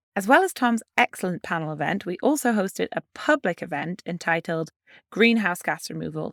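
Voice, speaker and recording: Fairly quick speech with a British accent on a very clean recording over a silent background. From UK. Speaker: podcast co-host. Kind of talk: casual podcast chat.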